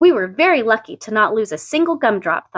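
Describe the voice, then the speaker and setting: A woman's put-on character voice, fairly quick, with very wide pitch swings. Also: fairly high pitch for a woman. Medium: read story. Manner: shy, earnest.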